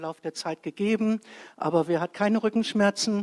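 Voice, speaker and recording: An ordinary speaking voice at a moderate pace. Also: woman. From Bremen, Germany. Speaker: churchgoer giving a live testimony. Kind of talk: live testimony. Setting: church stage with audience. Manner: chatty, lively, rambling.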